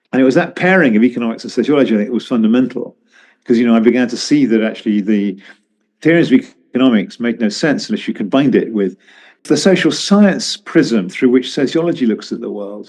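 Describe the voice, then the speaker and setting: A man with a southern British accent talks at a very fast pace with lively intonation. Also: medium pitch for a man. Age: 70s. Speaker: economist and journalist. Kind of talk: interview. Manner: halting, with many repetitions.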